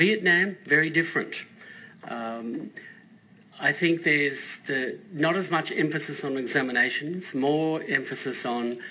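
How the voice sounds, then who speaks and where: A man with an Australian accent speaks at a fairly slow pace in a bright, sharp tone. His pitch is fairly high, with ordinary variation. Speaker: school principal. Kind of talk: radio panel interview.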